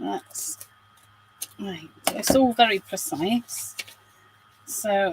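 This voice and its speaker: Against noticeable background noise, a woman speaks very slowly at a medium pitch with lively intonation. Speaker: crafter. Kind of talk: craft tutorial livestream. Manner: chatty, animated; quiet.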